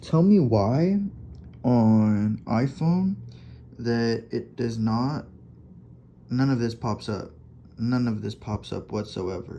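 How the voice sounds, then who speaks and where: A man speaks very slowly at a medium pitch, with long, frequent pauses. His tone is dark and mellow, and his intonation is lively. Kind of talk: casual talk over screen recording. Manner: halting, spaced-out pauses.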